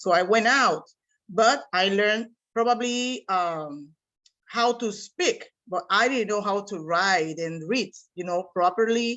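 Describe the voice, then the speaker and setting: A woman talks at a fairly slow pace. Her medium pitch moves with ordinary variation. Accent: Spanish. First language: Spanish. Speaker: seminar participant, English teacher. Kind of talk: class discussion.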